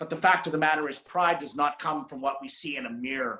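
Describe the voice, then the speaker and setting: A man with a Canadian accent and a fairly high pitch, animated in tone, at a moderate pace with ordinary pitch variation. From Saskatchewan, Canada. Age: 50s. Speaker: motivational speaker. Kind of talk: motivational talk. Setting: video call.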